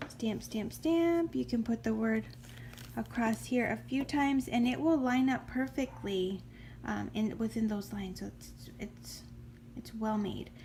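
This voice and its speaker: A soft-spoken woman talks at a fairly slow pace. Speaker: homeschooling mom. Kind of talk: casual talk to camera.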